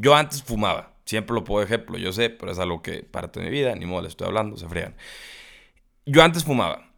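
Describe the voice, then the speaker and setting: Captured on a very clean recording with a silent background, a man with a plain, everyday voice at medium pitch talks at a fairly quick pace, his intonation lively and his loudness swinging widely. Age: young. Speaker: podcast host. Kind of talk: casual chat.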